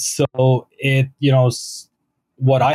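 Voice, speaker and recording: With a Canadian accent, a man talks at a medium pitch in a somewhat breathy voice that sounds dry and close with no echo. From Ontario, Canada (London). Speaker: real estate investor. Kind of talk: interview.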